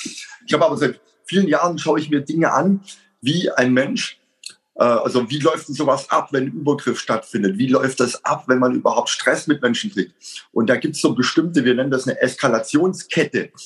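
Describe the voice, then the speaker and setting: A somewhat breathy man at a fairly high pitch, moderate pace and ordinary pitch variation. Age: 50s. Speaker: self-defense instructor and coach. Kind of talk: casual interview.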